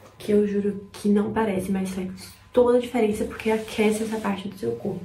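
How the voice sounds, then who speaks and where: A woman talks quietly at a moderate pace. Audible room echo and noticeable background noise surround her. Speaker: vlogger. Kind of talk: vlog. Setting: at home before dawn.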